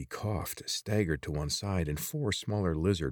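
The speaker does plain reading aloud. The pitch varies in an ordinary way.

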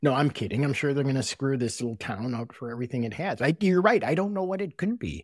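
Speaking at a very fast pace with hardly any pauses, a man with a Wisconsin accent uses a fairly high pitch and very wide pitch swings, recorded dry and close with no echo. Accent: Wisconsin Midwestern. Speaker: podcast host. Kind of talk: casual chat.

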